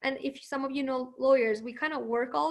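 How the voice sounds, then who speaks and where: With a Persian accent, a woman talks at a fairly quick pace in a high pitch with ordinary pitch variation. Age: 20s. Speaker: marketing professional and lawyer. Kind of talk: webinar interview.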